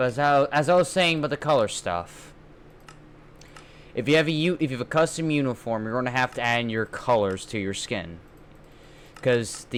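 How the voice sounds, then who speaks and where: A man talks at a medium pitch and a moderate pace. His intonation is lively, broken by long, frequent pauses. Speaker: minecraft modding youtuber. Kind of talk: tutorial. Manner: loud; halting, repetitive.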